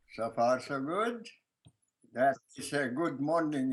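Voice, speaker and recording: Pitch shifts in an ordinary way for this man. He talks very slowly. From Lithuania. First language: Lithuanian. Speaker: filmmaker. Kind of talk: interview answer. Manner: hesitant, many fillers.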